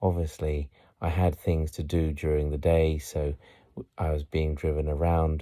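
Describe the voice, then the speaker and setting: A soft-spoken man with a British accent talks at a fairly slow pace, his very deep, low voice dark and mellow in tone. His intonation stays fairly even on a very clean recording with a silent background. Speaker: voice-over artist. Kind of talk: relaxing city tour narration. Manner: soft, relaxing.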